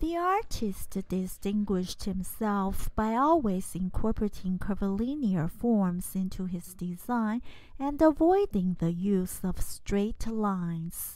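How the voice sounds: A woman at medium pitch talks at a slow pace, her slightly mellow tone carried by lively intonation.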